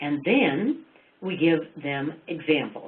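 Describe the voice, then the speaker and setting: A woman's fairly low-pitched voice with lively intonation and audible room echo. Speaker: education presenter. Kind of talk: webinar lecture. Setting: webinar.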